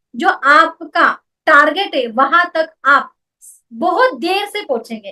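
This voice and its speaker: In a Marathi accent, a woman speaks in a raised, projected voice with a bright, sharp tone and lively intonation. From Maharashtra, India (Mumbai). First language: Marathi (speaking Hindi). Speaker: network marketing business woman. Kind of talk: motivational talk.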